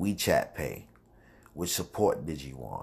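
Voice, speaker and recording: An American accent from a male speaker. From Brooklyn, New York. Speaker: podcast host. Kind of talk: casual monologue. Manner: loose, filler-heavy delivery.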